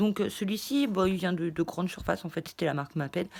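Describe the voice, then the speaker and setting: A woman talks at a fairly quick pace and a medium pitch. The recording is very clean, with a silent background. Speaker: craft YouTuber. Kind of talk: casual haul vlog. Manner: fast; hesitant, many fillers.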